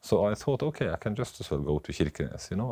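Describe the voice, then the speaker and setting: Speaking with a Southern Norwegian accent, the man's voice makes very wide pitch swings. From Norway, Oslo. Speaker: doctor. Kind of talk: casual chat. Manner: halting.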